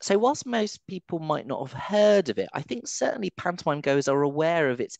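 A man with a fairly high pitch and a slightly mellow tone speaks at a moderate pace, using big pitch swings and vocal fry in a dry, close sound with no echo.

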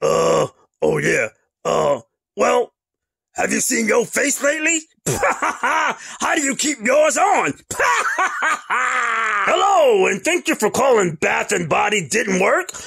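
Putting on a character voice at an extremely high pitch, a man speaks at a fairly slow pace with long, frequent pauses. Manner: playful, sassy.

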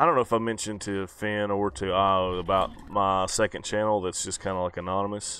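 Moving at a moderate pace, an unremarkable speaking voice comes through a very clean recording with a silent background. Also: man. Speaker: YouTuber. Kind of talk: casual chat.

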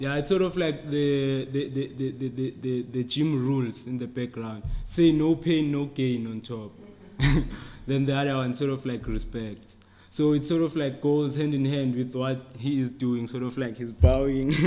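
A man at a moderate pace, his intonation fairly even. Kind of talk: informal lecture about his photos. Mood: relaxed, laughs often. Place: hall.

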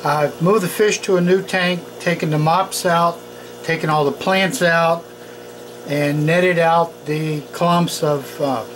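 Fairly slow delivery over noticeable background noise. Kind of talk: tutorial. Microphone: phone near.

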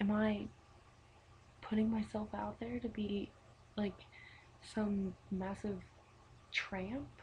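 At a very slow pace with long, frequent pauses, a somewhat breathy woman speaks with ordinary pitch variation over light background noise. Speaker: vlogger. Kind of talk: exasperated personal vlog rant answering critical messages. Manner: rambling, filler-heavy with repeated likes and ums; indignant, profane venting that trails off into a laugh. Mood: exasperated, incredulous. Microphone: webcam.

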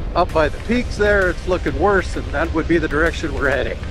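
A man talks in a dry sound without echo as clear music plays behind him. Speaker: motorcycle rider vlogger. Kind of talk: casual ride commentary. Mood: relaxed, wry. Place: motorbike. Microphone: helmet.

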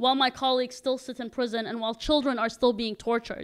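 A woman speaks in a high voice against a quiet background. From Denmark. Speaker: human rights activist. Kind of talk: speech to an audience. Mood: earnest, determined. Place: stage. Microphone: handheld.

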